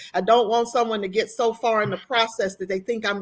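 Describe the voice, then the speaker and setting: Fairly even intonation in a plain, everyday voice. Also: woman. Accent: American. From US South. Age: 60s. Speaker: university compliance officer. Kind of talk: panel discussion.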